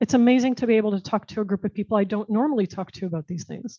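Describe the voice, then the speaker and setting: With an American accent, a woman has a plain, everyday voice, a fairly high pitch and ordinary pitch variation. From United States. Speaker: tech professional and diversity speaker. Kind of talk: talk and audience Q&A.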